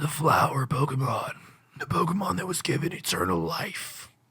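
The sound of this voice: This is a put-on character voice. It sounds raspy and gravelly. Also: man, fairly high pitch for a man, moderate pace.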